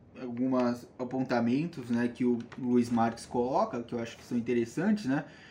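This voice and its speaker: Speaking in a dark, mellow tone, a man uses a medium pitch with ordinary pitch variation. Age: 20s. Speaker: biology student and environmental activist. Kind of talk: casual interview.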